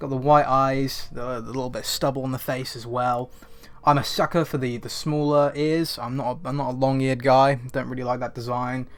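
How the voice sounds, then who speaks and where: Noticeable background noise surrounds a man talking at a fairly quick pace. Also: medium pitch for a man. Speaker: toy reviewer. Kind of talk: product review. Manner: animated.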